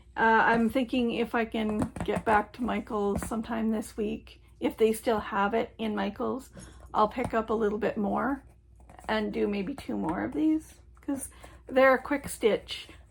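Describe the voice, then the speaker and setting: A woman with vocal fry speaks at a fairly high pitch with fairly even intonation. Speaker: crafting vlogger. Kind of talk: casual chat. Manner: hesitant, many fillers.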